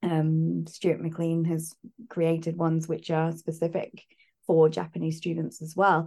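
Fairly slow and monotone, a woman speaks with flat intonation in a British accent. Her pitch is fairly low. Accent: British, teacher-style RP-leaning. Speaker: university lecturer. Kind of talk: interview chat.

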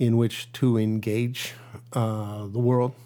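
A man with an American accent. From US Midwest (Detroit area, Michigan). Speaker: pediatric cardiologist. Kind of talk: casual interview. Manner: halting, with many fillers.

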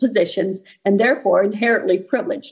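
A plain, everyday voice with a Canadian accent at a fairly quick pace. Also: woman. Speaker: activist volunteer. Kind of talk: reading aloud a letter.

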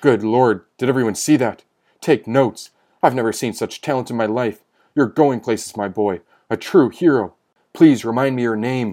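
A man speaks in a medium pitch at a moderate pace on a very clean recording with a silent background. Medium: read story. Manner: effusive, excited.

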